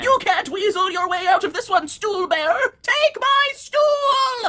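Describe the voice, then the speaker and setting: At a fairly slow pace, a woman speaks with an extremely high pitch. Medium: fan dub. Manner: shouting, demanding, erratic.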